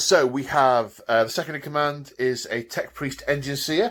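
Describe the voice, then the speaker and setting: This man talks at a fairly slow pace in a fairly high pitch. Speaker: tabletop wargaming youtuber. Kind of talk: solo battle report army overview. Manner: hesitant, lots of fillers.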